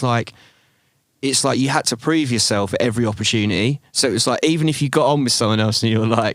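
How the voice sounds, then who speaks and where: A man talks at a very fast pace in an English accent. His intonation is fairly even. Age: 40s. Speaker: drum and bass MC. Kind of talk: casual chat.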